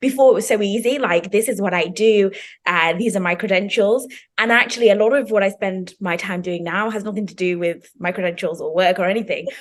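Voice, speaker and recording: A woman speaks with a British accent at a fairly quick pace. Her medium-pitched voice has lively intonation. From Zimbabwe, then the UK. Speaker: PhD student and healthcare professional. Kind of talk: casual chat.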